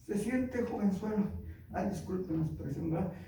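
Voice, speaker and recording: Animated tone from a man, with audible room echo. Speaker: preacher. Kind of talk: sermon.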